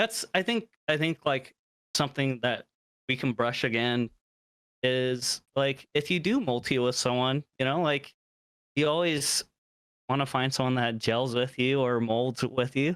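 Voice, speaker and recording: Pausing long and often, a man speaks at a fairly slow pace and medium pitch with ordinary pitch variation, the sound dry and close with no echo. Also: very even loudness. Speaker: gaming streamer, podcast co-host. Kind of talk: casual chat. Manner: screams when nervous while gaming.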